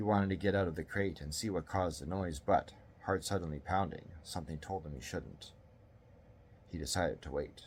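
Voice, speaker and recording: A man speaks at a very deep, low pitch with a somewhat breathy quality. His pace is moderate, with ordinary pitch variation. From Canada. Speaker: author reading his own story. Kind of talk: horror story reading.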